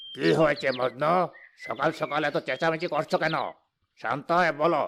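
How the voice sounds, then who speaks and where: Putting on a cartoonish character voice, a man talks at a moderate pace and fairly high pitch with fairly even intonation. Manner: measured, authoritative.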